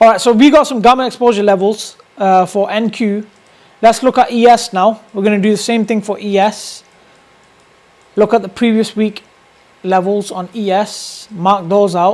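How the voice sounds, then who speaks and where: A man with a British accent talks at a moderate pace in a high voice with fairly even intonation and long, frequent pauses, amid noticeable background noise. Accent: UK. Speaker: day trader streamer. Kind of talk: live trading stream commentary. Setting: live stream with webcam. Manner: casual, filler-heavy.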